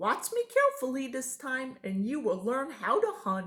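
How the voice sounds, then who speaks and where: Using a put-on character voice, a woman speaks high in pitch at a moderate pace, her pitch swinging very widely. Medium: read story. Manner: gruff but kindly.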